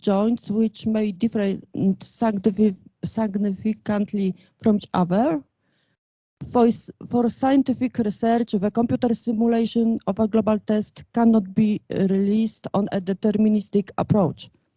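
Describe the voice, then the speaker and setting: The dark, mellow, somewhat breathy voice moves at a fairly slow pace with fairly even intonation and very even loudness, in a dry, close sound with no echo. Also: woman, fairly high pitch for a woman. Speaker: conference speaker, engineering researcher. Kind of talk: lecture. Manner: halting, many hesitations.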